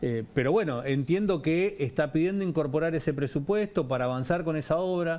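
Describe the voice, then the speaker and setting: With a dark, mellow tone, a man talks at a fairly quick pace, with very even loudness, ordinary pitch variation and hardly any pauses. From Argentina. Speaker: head of state railway company; interview guest. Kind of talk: TV interview. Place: studio. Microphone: headset.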